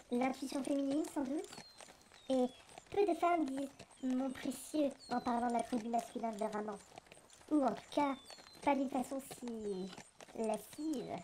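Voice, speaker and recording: A shrill, high-pitched put-on character voice from a woman, at a moderate pace with long, frequent pauses. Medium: audio drama. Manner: bossy, mocking.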